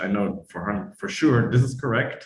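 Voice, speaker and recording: A somewhat breathy man with a German accent and ordinary pitch variation. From Eastern Germany. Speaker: German teacher. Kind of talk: online talk interview.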